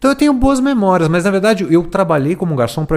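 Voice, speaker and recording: A man talks at a very fast pace. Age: 40s. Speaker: education expert and author. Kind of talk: casual chat.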